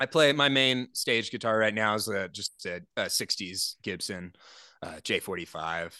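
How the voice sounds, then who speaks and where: Speaking at a fairly slow pace with lively intonation, this voice has a bright, sharp tone and an American accent over a quiet background. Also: man, fairly low pitch for a man, dry, close sound with no echo. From Oklahoma, Tulsa. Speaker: singer-songwriter. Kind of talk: casual interview. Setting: video call.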